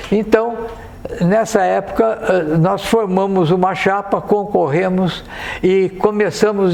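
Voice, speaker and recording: Very slowly and with fairly even intonation, a man speaks in a high voice amid noticeable background noise and audible room echo. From Brazil, São José do Rio Preto (São Paulo interior). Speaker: dentist, former association president. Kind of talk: podcast interview, reminiscing. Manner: halting, with hesitations.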